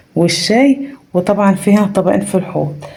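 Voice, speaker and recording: Ordinary pitch variation marks a woman's speech, heard with noticeable background noise. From rural Egypt. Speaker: family vlogger. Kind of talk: vlog. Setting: family home, early morning. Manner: soft-spoken, lowered voice; animated.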